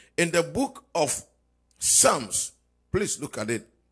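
A man talks at a fairly slow pace while music plays behind him. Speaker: pastor leading online prayer. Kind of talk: fervent intercessory prayer, declaring and commanding. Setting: live stream prayer service. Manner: impassioned, rising and pounding, repeating phrases. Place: church. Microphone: handheld.

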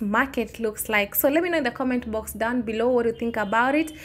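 This is a woman's voice. Her pitch varies in an ordinary way. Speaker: travel vlogger. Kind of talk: casual vlog chat. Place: market. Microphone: phone near.

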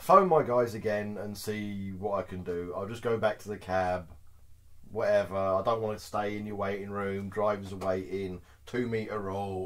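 Someone talks at a fairly quick pace with ordinary pitch variation. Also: man. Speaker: truck driver storyteller. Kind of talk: casual vlog chat. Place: home room. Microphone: camera far.

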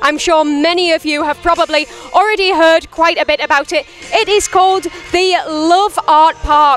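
Faint music sits behind a dry recording with no echo. A woman with an extremely high voice speaks fairly slowly, her intonation fairly even. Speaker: TV presenter. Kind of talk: presenter piece to camera. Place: open country. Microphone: handheld.

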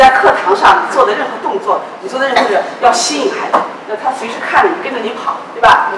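In a fairly quick voice with very wide pitch swings, a woman speaks at a high pitch amid loud background noise and audible room echo. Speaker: Chinese teacher trainer. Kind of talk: training lecture. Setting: conference room with audience. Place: classroom. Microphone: camera far.

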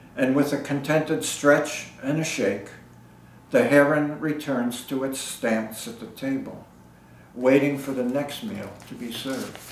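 Over noticeable background noise, a man talks at a fairly slow pace with a fairly high pitch. His loudness swings widely while his pitch varies in an ordinary way. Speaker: poet. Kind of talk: poem reading. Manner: measured, lyrical cadence.

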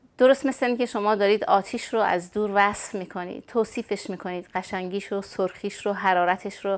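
A woman speaks at a fairly quick pace. Her intonation is fairly even. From Iran, Urmia (West Azerbaijan); West Azerbaijan, Iran. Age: 50s. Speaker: Baha'i emigrant interviewee; interviewee. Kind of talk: personal testimony interview. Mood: reflective, sometimes sad memories. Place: home room. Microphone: lapel.

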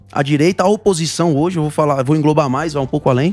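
The speech moves at a very fast pace, with a dry sound that has no echo. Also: man. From Ceará, Brazil. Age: 20s. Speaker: federal deputy, politician; interview guest, politician. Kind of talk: talk show interview. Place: studio. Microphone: handheld.

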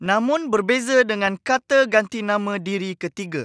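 With a dry, close sound and no echo on a very clean recording with a silent background, a man speaks at a fairly slow pace in a high, bright, sharp voice with ordinary pitch variation. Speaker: educational video presenter. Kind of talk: lecture. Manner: friendly, addressing young students.

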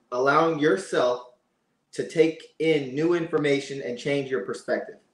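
Heard with audible room echo, a man with an American accent talks at a fairly high pitch with ordinary pitch variation. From Pennsylvania. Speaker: reality TV contestant; podcast guest. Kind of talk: casual chat. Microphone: video call.

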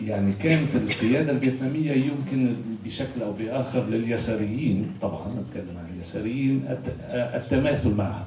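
A man at a moderate pace with ordinary pitch variation, amid noticeable background noise and audible room echo. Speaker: panelist, political activist. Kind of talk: panel discussion. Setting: simultaneous interpretation event. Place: stage.

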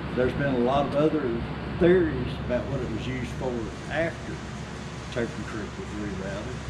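A man keeps a moderate pace while loud background noise plays around him. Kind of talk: interview answer. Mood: enthusiastic storytelling. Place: shop. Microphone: camera far.

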